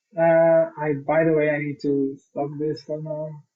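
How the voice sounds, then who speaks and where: Speaking in a Portuguese accent, a man holds a fairly high pitch with monotone, flat intonation. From Portugal. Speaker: software consultant. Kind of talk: tutorial. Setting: live stream.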